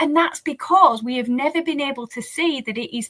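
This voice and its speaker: A woman with a British accent, high pitch and very wide pitch swings, her voice raised and projected at a fairly quick pace. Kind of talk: interview conversation. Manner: animated.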